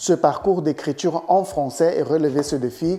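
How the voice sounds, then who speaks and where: A man talks at a fairly high pitch. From Brazil. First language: Portuguese (speaking French). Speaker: literature and writing YouTuber. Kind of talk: educational talk. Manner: animated, with repetitions and hesitations.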